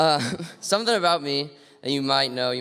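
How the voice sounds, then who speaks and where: A man's voice shows ordinary pitch variation, with noticeable noise behind it. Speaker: graduating student. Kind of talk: farewell speech to student group. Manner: loud.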